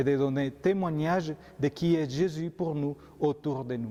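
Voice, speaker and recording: Speaking at a very slow pace, a man with a Colombian accent is heard. His pitch sits fairly high. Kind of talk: homily.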